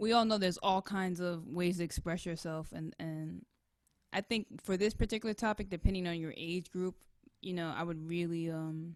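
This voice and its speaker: With an American accent, a normal speaking voice moves at a moderate pace and fairly even intonation in a very clean recording with a silent background. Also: woman, fairly low pitch for a woman. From New York City, Washington Heights. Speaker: saxophonist. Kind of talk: casual chat.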